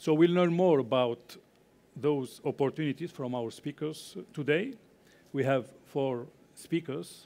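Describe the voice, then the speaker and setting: A man talks at a fairly slow pace with a fairly high pitch. His tone is dark and mellow, with ordinary pitch variation. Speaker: conference panel moderator. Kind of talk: panel moderation. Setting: stage with audience. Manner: halting. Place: hall.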